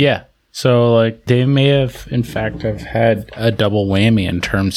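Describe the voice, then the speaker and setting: With a normal speaking voice, this speaker moves at a fairly slow pace, and the pitch varies in an ordinary way. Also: man. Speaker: podcast co-host. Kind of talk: casual chat.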